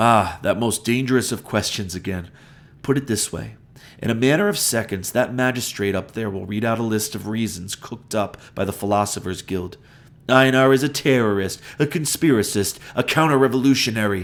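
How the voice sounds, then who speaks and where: A man puts on a gruff character voice of medium pitch and talks at a moderate pace. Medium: read story. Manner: solemn, enigmatic.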